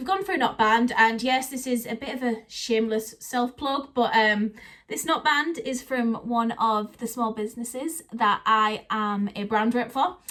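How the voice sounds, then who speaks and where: Speaking at a moderate pace with hardly any pauses, a woman uses a fairly high pitch, ordinary pitch variation and a bright, sharp tone. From northeast England, Teesside. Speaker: Disney vlogger. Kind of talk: casual vlog talk to camera.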